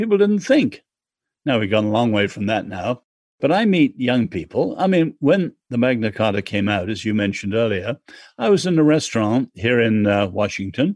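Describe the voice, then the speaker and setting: Someone with an English accent talks at a moderate pace with lively intonation, recorded in a dry, close sound with no echo. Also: man, medium pitch for a man. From England. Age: 70s. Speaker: author and social critic. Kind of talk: interview.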